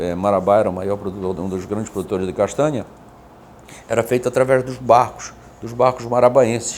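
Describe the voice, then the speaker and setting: A man with a Pará accent at a fairly quick pace, broken by long, frequent pauses and big swings in loudness. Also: medium pitch for a man, ordinary pitch variation. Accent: Pará riverside accent, kept. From Pará riverside, Igarapé-Miri, Brazil. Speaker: businessman. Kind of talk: interview conversation.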